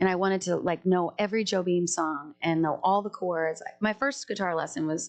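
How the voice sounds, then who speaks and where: With an American accent, a woman speaks at a moderate pace and medium pitch, with ordinary pitch variation over a quiet background. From Colorado. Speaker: singer-songwriter. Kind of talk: casual chat. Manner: animated.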